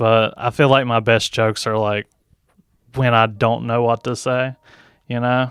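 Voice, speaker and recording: In a Southern accent, a man speaks at a medium pitch with monotone, flat intonation, at a fairly slow pace with long, frequent pauses. The sound is dry and close with no echo, a very clean recording with a silent background. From Tennessee. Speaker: comedian. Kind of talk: casual chat.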